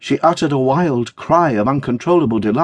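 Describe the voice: Intonation rises and falls in a lively way. It is plain reading aloud.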